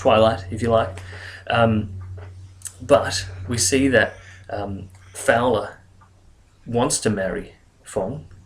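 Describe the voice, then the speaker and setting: A man speaks at a very slow pace with long, frequent pauses, a somewhat breathy sound, fairly even intonation and big swings in loudness. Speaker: English teacher. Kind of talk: educational lecture.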